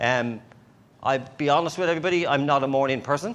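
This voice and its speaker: A man with an Irish accent, speaking at a fairly quick pace. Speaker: conference speaker. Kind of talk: conference talk. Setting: stage with audience.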